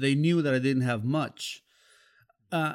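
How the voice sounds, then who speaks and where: Talking at a fairly slow pace, a man speaks with a Spanish accent. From Mexico, Xalapa, Veracruz. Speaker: music journalist and DJ. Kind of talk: interview storytelling.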